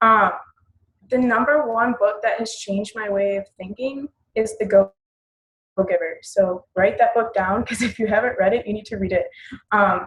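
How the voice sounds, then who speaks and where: A somewhat breathy woman speaks at a fairly high pitch with fairly even intonation. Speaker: fitness business coach. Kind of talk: team call presentation. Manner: fast.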